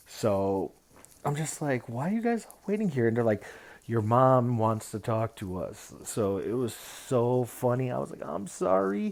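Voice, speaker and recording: At a fairly slow pace, a man with an ordinary speaking voice talks at a medium pitch with lively intonation. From Mexican-American, US. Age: 30s. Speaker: direct support professional. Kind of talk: personal storytelling monologue. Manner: casual, with false starts.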